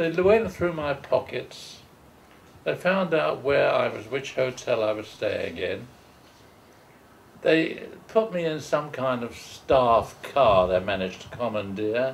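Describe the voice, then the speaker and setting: A man in a London accent speaks at a very slow pace. His fairly high voice moves through very wide pitch swings. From England, London East End. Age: 80s+. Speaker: war veteran. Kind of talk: oral history interview. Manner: halting.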